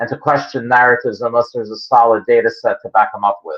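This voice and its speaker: This is a man speaking. He has a Philadelphia accent. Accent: Philadelphia American. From Philadelphia, US. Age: 60s. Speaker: creationist geologist. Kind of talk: interview answers. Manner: halting, many fillers.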